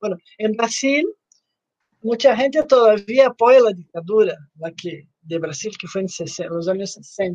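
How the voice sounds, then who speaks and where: In a Portuguese accent, a woman speaks at a fairly slow pace in a fairly high pitch. Her intonation is lively and her loudness swings widely. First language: Portuguese (speaking Spanish). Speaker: podcast host. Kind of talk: interview hosting. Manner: mixes Portuguese and Spanish.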